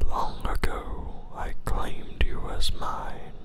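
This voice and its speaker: A man whispers in a calm tone. Background noise is noticeable. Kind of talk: ASMR story reading. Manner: whispered; calm, soft-spoken.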